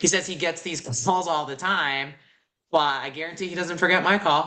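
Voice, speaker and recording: A woman with an American accent speaks at a moderate pace in a bright, sharp tone with ordinary pitch variation. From Boston, US. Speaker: real estate wholesaler student. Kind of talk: casual chat.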